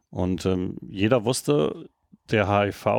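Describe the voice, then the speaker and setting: This is a man speaking. His intonation is lively. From Rhineland, Germany (Erkrath). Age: 50s. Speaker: novelist. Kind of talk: interview. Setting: bookshop.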